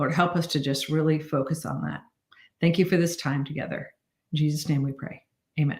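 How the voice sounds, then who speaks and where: Speaking with vocal fry and a very deep, low pitch, a woman leaves long, frequent pauses. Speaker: sales team leader. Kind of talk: prayer; motivational team meeting livestream. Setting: livestream. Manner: animated.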